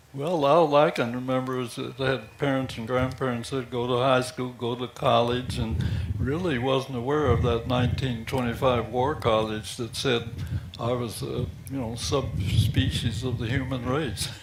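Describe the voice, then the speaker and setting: Audible room echo surrounds a man speaking at a moderate pace and medium pitch with fairly even intonation. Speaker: war veteran. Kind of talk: interview.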